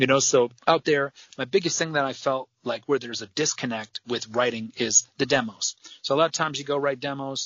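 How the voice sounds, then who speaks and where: Speaking fairly quickly with an American accent, a man with an unremarkable speaking voice holds a fairly high pitch and fairly even intonation. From US Midwest, Michigan. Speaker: rock band frontman. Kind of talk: casual interview chat.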